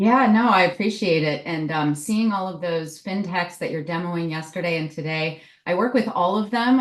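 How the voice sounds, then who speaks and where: With a Midwestern US accent, a woman talks at a moderate pace in a fairly low pitch, with ordinary pitch variation. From US Midwest. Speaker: tech consultant. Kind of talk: interview. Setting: virtual event stream.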